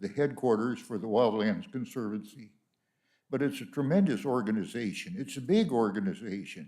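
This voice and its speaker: A man with an American accent speaks at a moderate pace. His tone is dark and mellow, with lively intonation. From California. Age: 90s. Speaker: honoree. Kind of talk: speech. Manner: halting.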